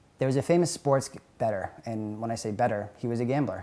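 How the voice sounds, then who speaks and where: Here a man speaks with an American accent. His pitch is medium with ordinary pitch variation. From New England (near Boston). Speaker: professional sports bettor. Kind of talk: documentary interview. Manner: fast.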